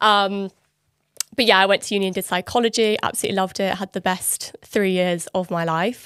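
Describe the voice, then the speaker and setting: With a southern English accent, a woman speaks at a fairly quick pace in a medium pitch and fairly even intonation. The sound is dry and close, with no echo. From London. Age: 20s. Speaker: online fitness coach. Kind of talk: podcast interview.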